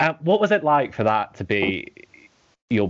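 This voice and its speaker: A man speaks with a fairly high pitch and vocal fry. His pitch swings very widely. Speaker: podcast host. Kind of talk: casual interview chat.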